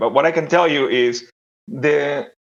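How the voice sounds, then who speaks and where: With an Argentine accent, a man talks at a fairly high pitch with lively intonation. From Argentina. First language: Spanish. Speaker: developer relations executive. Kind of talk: panel discussion. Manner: halting, many fillers.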